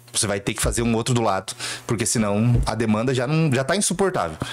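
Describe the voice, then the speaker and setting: This is a plain, everyday voice, a man's at medium pitch. He talks at a moderate pace. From southern Brazil, Cascavel, Paraná. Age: 30s. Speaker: city councillor. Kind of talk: interview.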